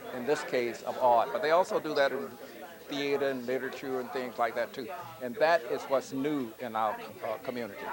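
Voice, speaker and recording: A man with an American accent, medium pitch, fairly quick pace and fairly even intonation, with crowd noise in the background. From US South, Georgia. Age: 70s. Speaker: visual artist. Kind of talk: interview.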